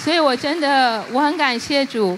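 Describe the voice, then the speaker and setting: A woman speaks over noticeable background noise. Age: 50s. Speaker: church member giving testimony. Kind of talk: testimony.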